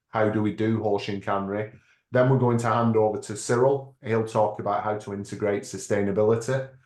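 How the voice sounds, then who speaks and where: Here a man talks with a British accent. His intonation is fairly even. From United Kingdom. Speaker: lean management consultant and author. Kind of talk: webinar presentation. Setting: online webinar.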